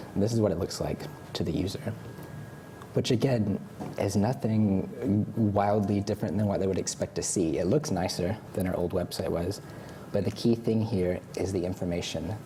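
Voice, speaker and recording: A man with an American accent speaks at a moderate pace with a fairly low pitch and ordinary pitch variation. Noticeable background noise runs underneath. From United States. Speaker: content designer and user researcher. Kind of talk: conference talk. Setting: stage with audience. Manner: hesitant fillers.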